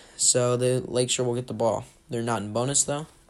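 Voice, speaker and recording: A man speaks at a medium pitch in a flat, monotone way, with noticeable background noise behind him. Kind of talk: live sports commentary.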